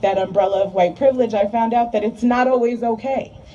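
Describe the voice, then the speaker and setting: A woman with an American accent rattles along very fast while noticeable noise sounds behind her. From New Jersey, US. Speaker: rally speaker. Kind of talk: speech. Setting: outdoor rally. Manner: loud; animated.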